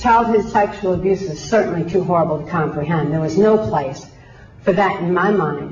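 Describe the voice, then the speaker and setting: Over noticeable background noise and audible room echo, a woman with a fairly low pitch speaks at a moderate pace with ordinary pitch variation. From Michigan, US Midwest. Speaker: abuse survivor, author. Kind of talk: testimony.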